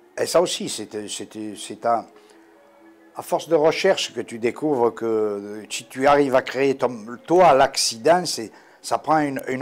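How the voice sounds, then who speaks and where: Speaking with a Corsican accent, a man talks at a very slow pace with lively intonation. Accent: warm Corsican. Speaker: sculptor. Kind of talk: interview answer. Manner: casual, hesitant.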